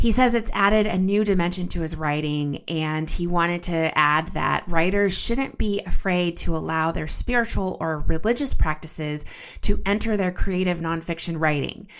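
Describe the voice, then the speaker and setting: A woman speaks in a normal speaking voice, fairly low in pitch with ordinary pitch variation. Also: moderate pace. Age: 30s. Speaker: podcast host and editor. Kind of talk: scripted narration; interview.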